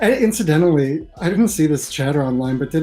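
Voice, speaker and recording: Music plays in the background as a man talks at a very fast pace. His pitch is fairly high. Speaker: comic book writer and lawyer. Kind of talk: casual chat.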